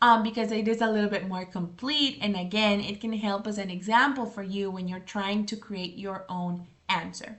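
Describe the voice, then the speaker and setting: At a moderate pace, a woman speaks in a plain, everyday voice, medium in pitch with ordinary pitch variation. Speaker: English teacher. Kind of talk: tutorial.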